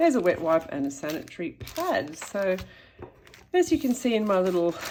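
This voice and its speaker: Speaking at a fairly quick pace, a woman with a medium-pitched voice makes very wide pitch swings. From Australia. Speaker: YouTuber. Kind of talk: show-and-tell tutorial. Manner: casual, hesitant with fillers.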